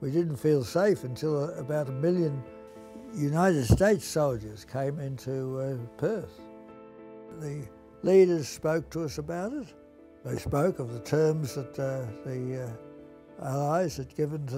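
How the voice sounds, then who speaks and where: Music plays in the background as a man talks at a fairly slow pace with long, frequent pauses. His pitch is fairly high, with ordinary variation. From Melbourne, Australia. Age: 80s+. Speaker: Jesuit priest and school teacher. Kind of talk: interview answer, reminiscence.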